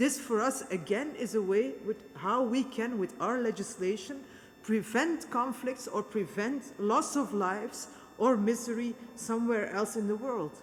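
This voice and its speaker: In a normal speaking voice, a woman talks at a fairly slow pace and a fairly high pitch, with ordinary pitch variation. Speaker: politician. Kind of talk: speech at a peace conference. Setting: conference in a cathedral.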